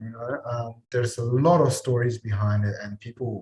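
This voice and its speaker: A somewhat breathy man with a non-native accent. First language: not English. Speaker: mental health practitioner. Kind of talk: casual chat.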